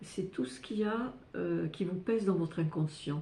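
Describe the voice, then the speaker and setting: Somewhat breathy and dark, mellow in tone, a woman speaks at a very slow pace with ordinary pitch variation. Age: 70s. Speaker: astrologer and personal development youtuber. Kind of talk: personal testimony to camera. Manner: halting, many hesitations and repetitions.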